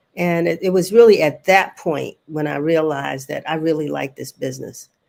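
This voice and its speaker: Speaking at a fairly quick pace with an American accent, a woman with a very deep, low pitch uses ordinary pitch variation. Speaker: newspaper publisher. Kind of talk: panel interview.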